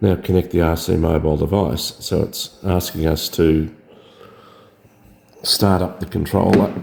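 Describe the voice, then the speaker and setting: With very deep, low pitch and fairly even intonation, a man speaks with long, frequent pauses. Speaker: drone hobbyist. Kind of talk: tutorial. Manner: casual, hesitant with fillers.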